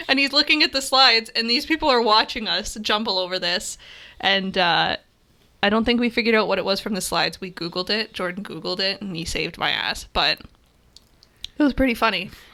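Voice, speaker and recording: Over a silent background in a very clean recording, a woman speaks at a fairly quick pace and a fairly high pitch, with a bright, sharp tone and lively intonation. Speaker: photography podcast co-host. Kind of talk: casual chat. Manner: fast.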